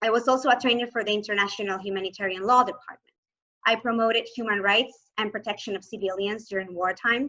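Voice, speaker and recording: Bright and sharp in tone, the voice moves at a very fast pace with a Spanish accent and fairly even intonation. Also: woman, fairly high pitch for a woman. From Venezuela, Maracaibo. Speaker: human rights lawyer, asylee. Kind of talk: presentation talk.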